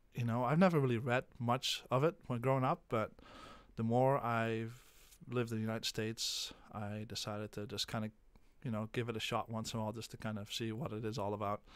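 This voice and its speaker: At a fairly quick pace, a man with a slight Dutch accent talks at a medium pitch with fairly even intonation. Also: very clean recording, silent background. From Netherlands. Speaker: special education teacher. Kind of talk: classroom talk before reading aloud. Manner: halting, many fillers.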